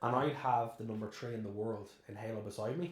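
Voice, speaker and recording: Somewhat breathy, a man of medium pitch speaks with an Irish accent in a room with audible echo. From Ireland. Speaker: celebrant, former banker and taxi driver. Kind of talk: podcast interview.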